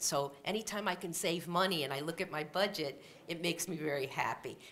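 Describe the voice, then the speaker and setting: Here a woman speaks with a fairly low pitch. Her intonation is lively. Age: 60s. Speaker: university president. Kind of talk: conference welcome speech. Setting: stage with audience. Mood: warm, upbeat. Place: hall. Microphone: lapel.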